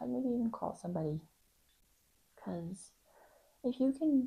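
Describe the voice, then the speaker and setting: Quiet and somewhat breathy, a woman speaks at a moderate pace. Her pitch swings very widely. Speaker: YouTuber reading Reddit stories. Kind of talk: reading aloud with casual commentary. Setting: home apartment at night. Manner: quiet, keeping voice down; casual, hesitant with many ums.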